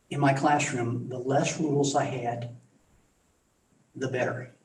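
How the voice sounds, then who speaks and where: A man's fairly high voice at a very slow pace, flat and monotone, with audible room echo. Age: 70s. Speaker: school board member and former teacher. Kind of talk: board meeting discussion. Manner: halting.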